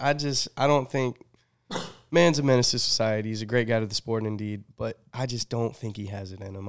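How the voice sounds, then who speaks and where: A man with fairly low pitch and ordinary pitch variation speaks at a fairly quick pace, with big swings in loudness. It is an unremarkable speaking voice in a very clean recording with a silent background. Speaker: sports podcast host. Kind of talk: casual chat.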